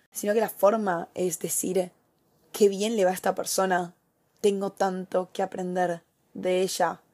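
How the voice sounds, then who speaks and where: Speaking in a Rioplatense accent, a woman with a medium pitch and a dark, mellow tone talks at a fairly slow pace. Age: 20s. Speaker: influencer and podcast host. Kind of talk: casual solo podcast monologue. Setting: home desk recording. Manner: animated.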